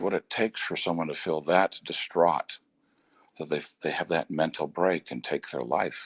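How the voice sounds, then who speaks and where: Using vocal fry, a man speaks at a very deep, low pitch. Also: ordinary pitch variation, moderate pace. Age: 60s. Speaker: motivational speaker and business coach. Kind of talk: motivational talk. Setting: outdoors on a bridge at home, live video. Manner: reflective.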